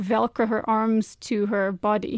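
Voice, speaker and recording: A woman with an American accent and an unremarkable speaking voice talks at a fairly high pitch and a fairly slow pace, in a dry, close sound with no echo over a quiet background. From US and England. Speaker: teacher and mother. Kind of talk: interview testimony.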